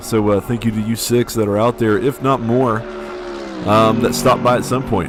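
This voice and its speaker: A man with a medium pitch talks fairly quickly, with noticeable background noise in the recording. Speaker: sim racing streamer and commentator. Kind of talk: live stream commentary. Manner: halting, many fillers.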